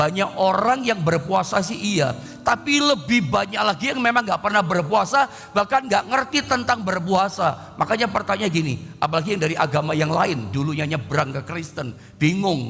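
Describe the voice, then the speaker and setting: Music plays in the background as a man speaks at a moderate pace. His pitch is high, with very wide pitch swings. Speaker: pastor. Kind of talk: sermon. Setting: online livestream.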